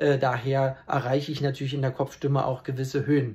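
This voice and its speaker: A male speaker is heard over a quiet background. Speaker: countertenor singer. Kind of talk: casual explainer to viewers. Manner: hesitant, many fillers. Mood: friendly, relaxed. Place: home room. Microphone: phone near.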